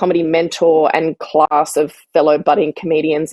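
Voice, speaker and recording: A woman's very deep, low voice in an Australian accent, dry and close with no echo. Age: 40s. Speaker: writer and comedian. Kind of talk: interview answer.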